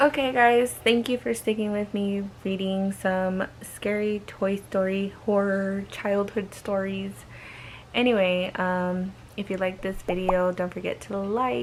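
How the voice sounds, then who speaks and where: This woman is soft-spoken, with a medium pitch. She talks at a fairly slow pace with ordinary pitch variation. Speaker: horror story vlogger. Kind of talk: reading aloud. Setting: bedroom.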